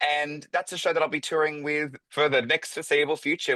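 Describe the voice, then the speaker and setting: Speaking at a fairly quick pace with a bright, sharp tone, a man with an Australian accent is heard against a quiet background. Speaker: drag performer. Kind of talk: casual chat.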